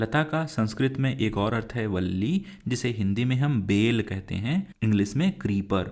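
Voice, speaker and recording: A man speaks in an ordinary speaking voice at medium pitch, his intonation lively. The recording is very clean, with a silent background. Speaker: teacher. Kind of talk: lecture. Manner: slow, clear explanatory.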